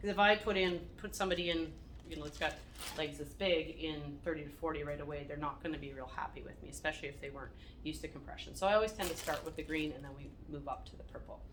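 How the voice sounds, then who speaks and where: The speech comes at a very fast pace with big swings in loudness and audible room echo. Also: woman. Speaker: wound care nurse. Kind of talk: staff training talk.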